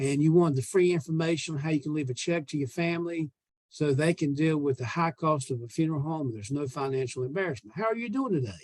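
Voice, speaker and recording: With a Southern US accent, a man speaks at a very fast pace. His pitch is fairly high, and its variation is ordinary. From US South. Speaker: sales trainer. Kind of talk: sales training call.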